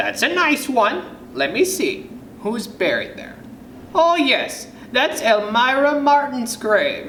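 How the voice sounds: Amid audible room echo, a man puts on a character voice at an extremely high pitch, slow and bright, sharp in tone, with big pitch swings.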